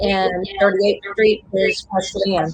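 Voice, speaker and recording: A woman with an American accent speaks at a very slow pace with monotone, flat intonation over noticeable background noise. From Indiana. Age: 50s. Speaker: live stream participant. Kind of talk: casual chat.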